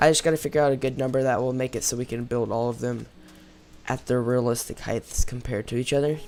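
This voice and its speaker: Over noticeable background noise, a man speaks fairly quickly in a flat monotone at a medium pitch. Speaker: gaming YouTuber. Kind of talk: let's play commentary. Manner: casual, many fillers.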